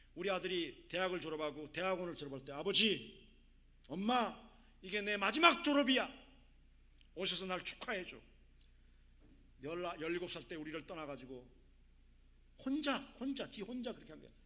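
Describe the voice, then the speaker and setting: A man with a high pitch speaks at a moderate pace, his intonation lively and his tone bright and sharp, loudness swinging widely. Long pauses come often, and room echo is audible. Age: 60s. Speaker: missionary. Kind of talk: sermon.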